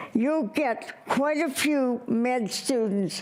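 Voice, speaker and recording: Speaking at a very slow pace, a woman uses a high pitch. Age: 90s. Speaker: public commenter. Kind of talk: public comment at board meeting. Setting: public meeting. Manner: halting.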